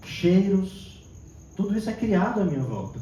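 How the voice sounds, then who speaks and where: Audible room echo and a fairly slow pace. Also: man. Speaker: therapist and spiritist lecturer. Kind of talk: lecture.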